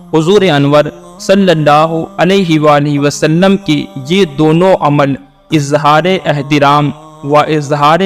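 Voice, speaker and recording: Over music in the background, a man with a fairly high voice keeps his intonation fairly even. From India. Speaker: voice-over artist. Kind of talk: religious lecture narration.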